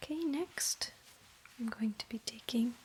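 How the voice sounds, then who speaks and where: Soft-spoken whispering at a fairly slow pace. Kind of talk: ASMR towel-folding demonstration, soft-spoken talk to camera.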